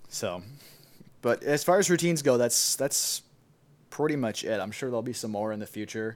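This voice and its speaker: Lively intonation in an Upper Midwest accent at a fairly quick pace, broken by long, frequent pauses. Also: man, medium pitch for a man. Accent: Upper Midwest American. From US Midwest, Wisconsin (Milwaukee). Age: 20s. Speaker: recent college graduate, electronic music producer. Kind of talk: casual chat.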